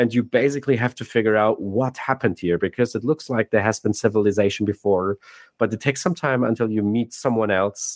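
A man with a non-native accent talks at a very fast pace, with a medium pitch and ordinary pitch variation. The background is quiet, and the sound is dry and close with no echo. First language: not English. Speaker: game director and narrative designer. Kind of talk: casual interview chat. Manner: hesitant, many filler words.

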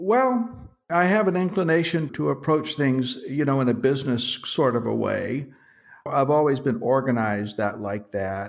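Speaking with an American accent, a man with a fairly high pitch talks at a moderate pace with lively intonation. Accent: general American, Southern accent trained out. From US South. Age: 70s. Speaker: actor and acting coach. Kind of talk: interview conversation.

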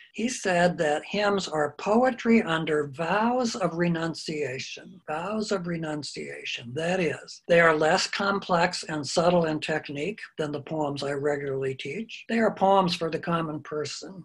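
Speaking at a fairly slow pace with hardly any pauses, a man uses a high voice with ordinary pitch variation. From US Midwest, Iowa. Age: 70s. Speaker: retired English professor and author. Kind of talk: interview.

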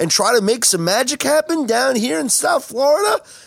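A man speaks at an extremely high pitch with lively intonation. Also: dry, close sound with no echo. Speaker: podcast host. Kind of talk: podcast hosting, sports talk.

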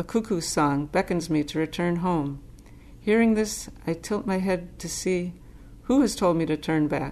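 A woman with an American accent uses a normal speaking voice, a fairly low pitch, ordinary pitch variation and a moderate pace. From US Northeast, Boston suburb. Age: 60s. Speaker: Zen teacher. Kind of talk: Dharma talk, personal storytelling. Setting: Zen center.

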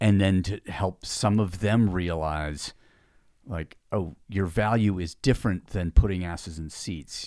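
In a very clean recording with a silent background, a man speaks with a very deep, low pitch and ordinary pitch variation. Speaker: podcast co-host, fitness business owner. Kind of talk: casual chat. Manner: fast.

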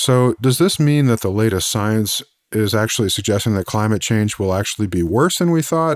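An unremarkable speaking voice moves at a moderate pace with lively intonation and very even loudness, in a very clean recording with a silent background. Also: man, medium pitch for a man. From Missouri, US. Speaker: podcast host, energy analyst. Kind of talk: interview conversation.

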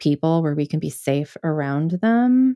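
With an American accent and a dark, mellow tone, a woman speaks at a fairly low pitch on a very clean, dry, close recording with no echo and a silent background. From US Midwest, Michigan. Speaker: librarian and systems coach, podcaster. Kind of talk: casual interview chat. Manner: animated, laughs often.

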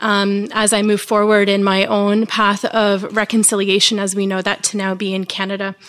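A woman at a medium pitch speaks in a monotone, flat intonation with hardly any pauses. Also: moderate pace. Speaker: audience member. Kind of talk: audience comment. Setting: stage with audience.

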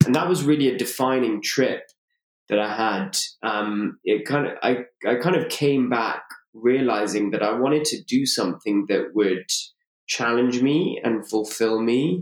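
A man with a London accent, medium in pitch, at a fairly slow pace with ordinary pitch variation. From London, England. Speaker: co-living entrepreneur. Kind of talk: interview. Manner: frequent fillers and restarts.

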